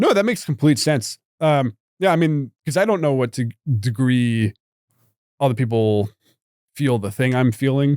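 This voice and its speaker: With a medium pitch and lively intonation, a man talks at a moderate pace with long, frequent pauses, the sound dry, close and echo-free in a very clean recording with a silent background. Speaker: stand-up comedian. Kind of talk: interview answer.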